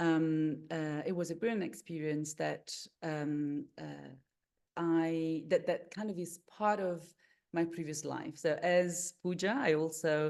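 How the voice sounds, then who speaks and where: A woman with an Italian accent speaks very slowly at a fairly low pitch. Her intonation is fairly even, over a quiet background. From Italy. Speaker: meditation coach and holistic therapist. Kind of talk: webinar introduction. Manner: halting, many fillers.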